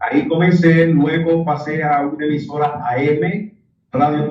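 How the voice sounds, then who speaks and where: With a Dominican accent, a man speaks in a somewhat breathy voice. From Dominican Republic. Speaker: radio announcer. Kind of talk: interview answer.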